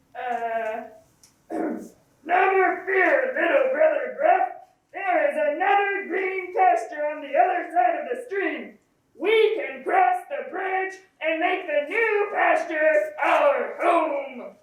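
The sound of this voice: A put-on character voice at an extremely high pitch, very slow in pace, with slight echo.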